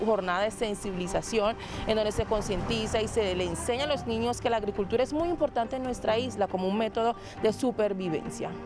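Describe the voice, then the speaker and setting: With ordinary pitch variation, a woman speaks at a fairly quick pace over noticeable background noise. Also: dry sound with no echo. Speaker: TV news reporter. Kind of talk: news field report. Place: street. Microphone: handheld.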